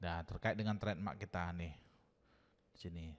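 The recording is very clean and the background silent. A man's pitch rises and falls in an ordinary way. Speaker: tech tutorial youtuber. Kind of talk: tutorial. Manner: hesitant with fillers.

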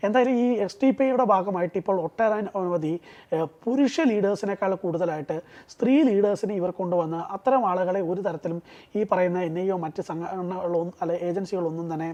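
A man with a high-pitched voice speaks with ordinary pitch variation. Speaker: political commentator. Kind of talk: political analysis interview.

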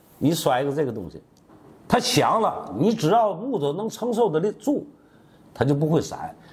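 At a moderate pace, a man with a high voice swings very widely in pitch and takes long, frequent pauses. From Tianjin, China; China. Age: 60s. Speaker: master carpenter. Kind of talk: tutorial. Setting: workshop. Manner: casual, repetitive. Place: workshop. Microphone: lapel.

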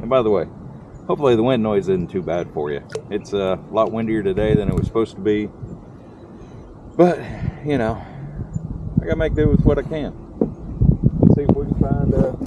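A man speaks at a fairly quick clip with loud noise behind him. The sound is dry, with no echo. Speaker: angler vlogger. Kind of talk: casual vlog chat. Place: boat.

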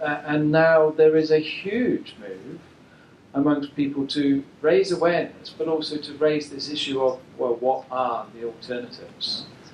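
A man's fairly high voice moves very slowly, its pitch varying in an ordinary way. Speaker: environmental researcher. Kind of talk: presentation talk.

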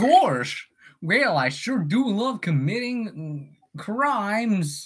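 A cartoonish character voice talks at a very slow pace. It sits fairly high and makes very wide pitch swings.

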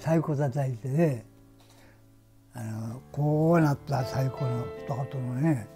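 A man with a Nagasaki accent speaks at a very slow pace, with long, frequent pauses and ordinary pitch variation. Clear music plays in the background. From Hashima Island, Nagasaki, Japan. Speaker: former coal miner. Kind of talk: interview answer. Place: home room.

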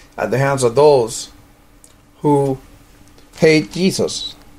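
There is noticeable background noise behind this recording. Over it, a man with a fairly high pitch talks at a fairly slow pace. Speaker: prayer leader of a religious order's radio ministry. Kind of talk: fervent intercessory prayer, petitioning God for the persecuted and clergy. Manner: earnest, pleading cadence with repeated invocations of Heavenly Father; slips into casual, rambling asides when giving practical instructions.

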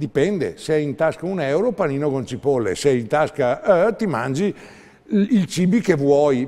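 A man speaks at a moderate pace with a fairly high pitch. His pitch swings very widely. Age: 70s. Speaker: herbalist, naturopath; guest. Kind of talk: TV interview. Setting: TV studio. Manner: animated. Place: studio. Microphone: lapel.

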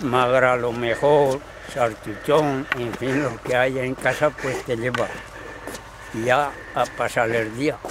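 A man's monotone, flat delivery at a very slow pace with long, frequent pauses, a dry sound with no echo and noticeable background noise. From Spain. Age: old. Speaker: retired shepherd. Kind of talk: casual chat. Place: open country.

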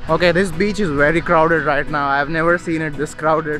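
A man's fairly even intonation, dry sound with no echo, and clear music in the background. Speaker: travel vlogger. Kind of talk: casual vlog chat. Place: street. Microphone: phone near.

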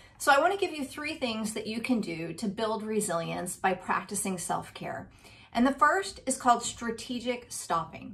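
An upbeat, somewhat breathy woman's voice at a moderate pace. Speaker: resilience speaker. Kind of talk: motivational talk to camera. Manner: upbeat, conversational. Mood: warm, encouraging. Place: home room. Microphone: webcam.

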